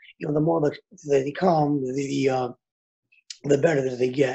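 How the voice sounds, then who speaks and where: The background is quiet as a man speaks in a dark, mellow tone. His voice is somewhat breathy and his intonation flat and monotone. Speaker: boxing coach, remote interview guest. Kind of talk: interview answer. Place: home room. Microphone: video call.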